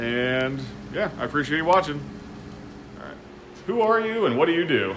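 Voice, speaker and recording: A man with a fairly high pitch talks at a moderate pace, his pitch swinging very widely and his loudness rising and falling sharply. Audible room echo and noticeable background noise surround his voice. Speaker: woodworker and channel host. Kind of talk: casual shop tour interview. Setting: woodworking shop. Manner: loud talker. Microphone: poor audio.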